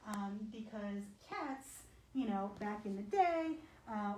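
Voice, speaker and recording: A soft-spoken woman talks with a fairly high pitch and ordinary pitch variation. Noticeable background noise and audible room echo fill the recording. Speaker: animal shelter behavior manager. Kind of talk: live demonstration talk. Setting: animal shelter, livestream. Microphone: muffled by face mask, hard to hear.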